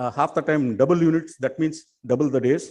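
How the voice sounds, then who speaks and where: At a fairly quick pace, a man with an unremarkable speaking voice talks at a fairly high pitch. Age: 60s. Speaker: film production fixer. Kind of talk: conference speech.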